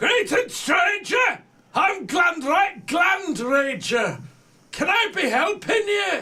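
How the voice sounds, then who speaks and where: A man shouts in a put-on character voice at an extremely high pitch. His pace is very slow. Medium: actual play.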